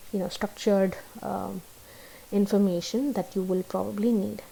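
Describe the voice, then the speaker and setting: In a Tamil accent, the voice carries a dark, mellow tone and fairly even intonation. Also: woman. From South India. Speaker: YouTuber giving immigration advice. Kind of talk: live stream chat. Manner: hesitant, many fillers. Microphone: laptop.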